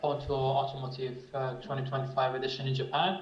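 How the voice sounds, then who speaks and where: The speaker has a non-native accent, heard through noticeable background noise and audible room echo. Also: man. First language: not English. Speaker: cybersecurity researcher. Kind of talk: conference panel discussion. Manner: halting.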